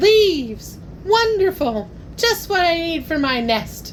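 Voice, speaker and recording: A woman uses a squeaky, put-on character voice at an extremely high pitch with very wide pitch swings. She speaks at a fairly slow pace over clear background noise. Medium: read story.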